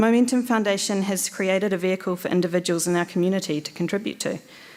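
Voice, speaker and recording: A woman speaks very fast with a New Zealand accent, her medium pitch held in a fairly even intonation on a very clean recording with a silent background. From New Zealand, Hamilton. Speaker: election candidate, commercial lawyer. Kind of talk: candidate speech.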